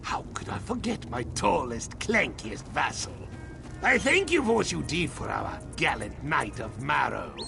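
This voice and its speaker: A man uses a put-on character voice at a fairly slow pace. Loud background noise fills the recording. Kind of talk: comic villain grandeur. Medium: machinima. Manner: pompous, theatrical, excitable, repeats words.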